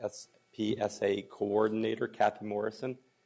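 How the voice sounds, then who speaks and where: A man speaks while music plays in the background. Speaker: school district administrator. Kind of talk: board presentation. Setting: board meeting. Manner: halting, many fillers.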